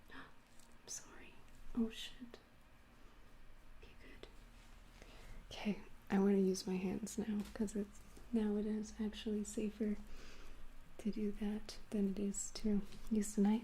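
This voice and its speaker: Long pauses come frequently in this speech. Overall, the pace is fairly slow. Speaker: livestreaming crafter. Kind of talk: live tutorial stream. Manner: halting.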